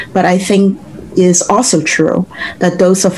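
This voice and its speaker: A woman speaks at a fairly slow pace. Her pitch is medium, and there is noticeable background noise. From Hong Kong, then Brooklyn from early teens. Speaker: civil rights and workers' rights lawyer. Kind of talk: interview.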